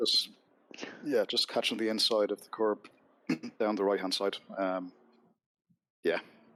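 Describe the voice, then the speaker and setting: Speaking in a Dublin accent, a man leaves long, frequent pauses, and his loudness swings widely. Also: moderate pace. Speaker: sim racing driver. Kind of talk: casual chat.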